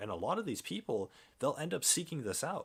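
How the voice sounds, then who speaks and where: Moving at a fairly quick pace, a man's voice makes very wide pitch swings. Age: 20s. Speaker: gaming livestreamer. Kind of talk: casual livestream monologue. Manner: halting, with frequent restarts.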